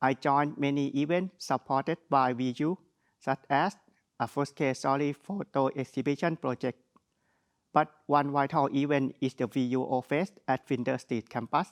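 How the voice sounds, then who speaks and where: A man with a strong Thai accent speaks at a moderate pace in a fairly high pitch with fairly even intonation, in a dry, close sound with no echo and a quiet background. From Thailand. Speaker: graduate speaker. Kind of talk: graduation speech. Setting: virtual graduation ceremony.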